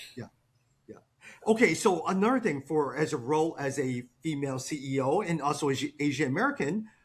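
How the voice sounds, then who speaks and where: Fairly quick and somewhat breathy, a man speaks at a fairly high pitch with lively intonation and big swings in loudness. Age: 40s. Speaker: podcast host. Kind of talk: podcast interview.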